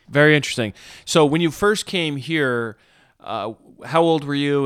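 Recorded very cleanly over a silent background with a dry, close sound and no echo, a man with an American accent speaks in an ordinary speaking voice, fairly high in pitch, at a moderate pace with ordinary pitch variation. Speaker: pastor and podcast host. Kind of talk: interview.

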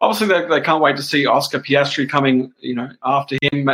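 Talking at a very fast pace with an Australian accent, a man has a fairly high pitch, a bright, sharp tone and fairly even intonation. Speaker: motorsport journalist. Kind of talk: casual chat.

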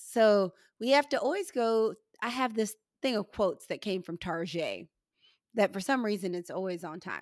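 In an ordinary speaking voice, a woman with an American accent talks at a moderate pace, fairly high in pitch with lively intonation. The recording is very clean with a silent background, and the sound is dry and close with no echo. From St. Louis, Missouri, US Midwest. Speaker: podcast host, psychiatrist. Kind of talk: casual interview chat.

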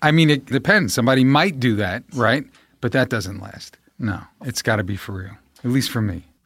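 In a New York accent, a man with a medium pitch speaks at a moderate pace with big swings in loudness, on a very clean recording with a silent background. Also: lively intonation. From New York, Staten Island. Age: 40s. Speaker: actor. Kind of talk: casual chat.

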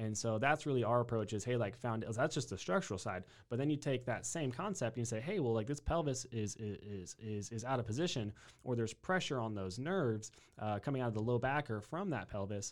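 A man with a Texan accent, medium pitch and a fairly quick pace. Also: ordinary pitch variation. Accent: Texan American. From Texas (New Braunfels). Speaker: chiropractor. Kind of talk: interview.

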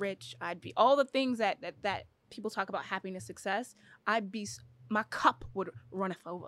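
A woman talks at a moderate pace with medium pitch, vocal fry, ordinary pitch variation and big swings in loudness. The recording is very clean, dry and close, with a silent background and no echo. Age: 30s. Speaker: professional basketball player. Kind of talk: casual chat.

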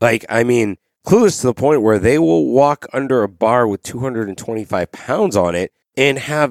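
Recorded very cleanly against a silent background, a man speaks at a fairly slow pace in a dry, close sound with no echo. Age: 30s. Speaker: podcast host. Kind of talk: solo rant. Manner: animated.

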